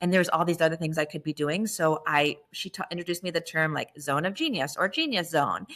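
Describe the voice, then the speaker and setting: A woman talks at a very fast pace with hardly any pauses. Her fairly low voice has an animated tone. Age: 40s. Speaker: startup founder, former lawyer. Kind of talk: podcast interview.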